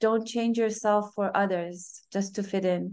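Against a quiet background, a woman with a Persian accent speaks at a very slow pace. Her medium-pitched voice has a dark, mellow tone and fairly even intonation. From Iran, then Europe and US as teen. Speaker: yoga and Ayurveda practitioner. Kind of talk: casual interview.

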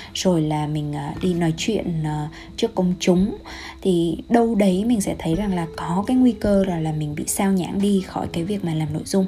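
A woman with a gentle tone speaks at a fairly low pitch with ordinary variation and hardly any pauses. Background noise is noticeable. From Vietnam. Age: young. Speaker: health coach and podcaster. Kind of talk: solo podcast monologue.

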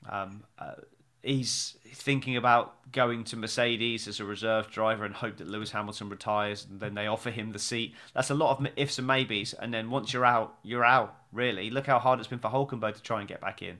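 Bright and sharp in tone, a man's medium-pitched voice with an English accent swings widely in loudness. The recording is very clean, with a silent background. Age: 40s. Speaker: podcast host and stage actor. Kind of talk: casual chat. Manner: animated.

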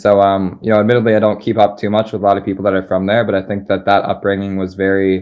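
Speaking very fast in a flat monotone, a man with an American accent has a fairly low pitch. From US Northeast, Philadelphia. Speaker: crypto investor and community builder. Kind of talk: live interview. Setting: live online voice chat.

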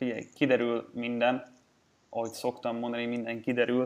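The delivery comes at a moderate pace with fairly even intonation. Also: man. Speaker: sports betting podcast host. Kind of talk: casual chat.

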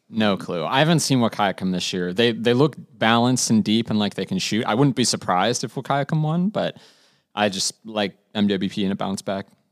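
A man with a normal speaking voice, medium in pitch, talks at a fairly quick pace with lively intonation. The recording is very clean and dry, close with no echo and a silent background. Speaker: sports editor.

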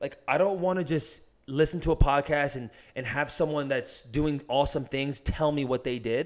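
Someone with an American accent talks in a plain, everyday voice at a moderate pace with ordinary pitch variation. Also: man. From US, New Jersey. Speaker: ultra-endurance runner. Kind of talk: casual chat. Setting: in person.

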